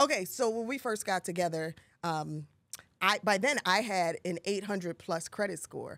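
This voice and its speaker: A woman's animated, lively-intoned voice, dry with no echo, over a quiet background. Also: fairly slow pace. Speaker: podcast co-host. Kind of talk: casual chat. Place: studio. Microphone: studio mic.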